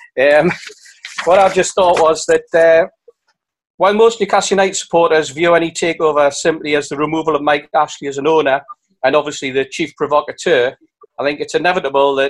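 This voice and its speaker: Using a normal speaking voice, a man talks fairly quickly at a fairly high pitch with fairly even intonation. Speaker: football fan representative. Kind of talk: reading a prepared statement. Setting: video call.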